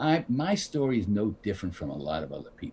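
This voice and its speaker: A somewhat breathy man at medium pitch with lively intonation. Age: 70s. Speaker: actor. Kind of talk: casual chat. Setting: live stream interview.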